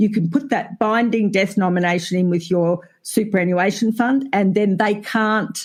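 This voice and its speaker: In a very clean recording with a silent background, a woman with an Australian accent talks at a moderate pace, her loudness very even and her pitch varying in an ordinary way. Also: medium pitch for a woman, hardly any pauses. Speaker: family lawyer. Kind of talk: casual chat.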